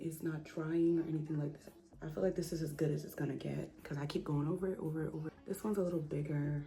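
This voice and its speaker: Over noticeable background noise, a woman speaks quietly at a very deep, low pitch, going very fast with hardly any pauses in a monotone, flat intonation. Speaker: beauty vlogger. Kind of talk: makeup tutorial. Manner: lowered voice, quiet.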